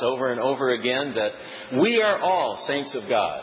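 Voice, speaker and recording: A man speaks at a medium pitch with ordinary pitch variation. Noticeable background noise and audible room echo surround him. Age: 60s. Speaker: preacher. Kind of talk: sermon. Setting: church.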